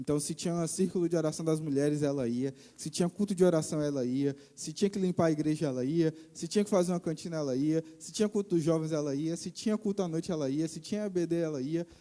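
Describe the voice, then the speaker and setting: A man talks at a very fast pace in a fairly high pitch, his tone dark and mellow. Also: very clean recording, silent background. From Brazil, Bahia (Vitória da Conquista). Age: 20s. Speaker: missionary preacher. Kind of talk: sermon testimony. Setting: church.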